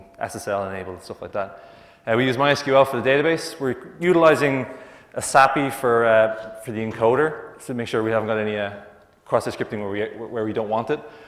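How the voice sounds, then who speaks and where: With audible room echo around him, a man talks at a moderate pace with ordinary pitch variation. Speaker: conference presenter. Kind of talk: conference talk. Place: hall.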